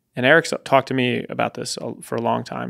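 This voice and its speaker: Fairly quick pace from a man, fairly even intonation, quiet background. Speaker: producer and podcast co-host; podcast co-host. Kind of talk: casual chat. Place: studio. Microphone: studio mic.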